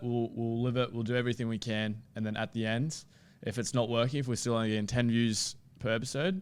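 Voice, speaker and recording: At a moderate pace, a man with an Australian accent speaks at a medium pitch on a very clean recording with a silent background. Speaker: sports podcaster. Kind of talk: casual chat. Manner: flat, unenthusiastic, can sound sarcastic.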